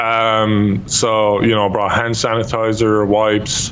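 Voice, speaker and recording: A man with an Irish accent, speaking very slowly over light background noise. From Ireland. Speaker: YouTube gamer. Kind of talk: casual chat. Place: home room. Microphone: studio mic.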